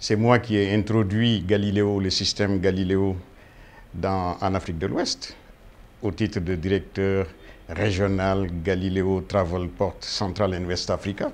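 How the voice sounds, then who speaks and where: A man talks very slowly in a fairly low voice. His intonation is monotone and flat. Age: 60s. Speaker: aviation industry expert. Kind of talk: interview. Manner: hesitant, many fillers.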